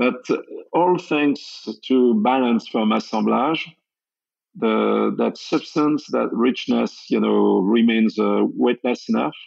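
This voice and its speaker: In a French accent, a man speaks at a very slow pace with very even loudness. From France, Champagne region. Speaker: sake brewer, former champagne cellar master. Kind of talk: interview.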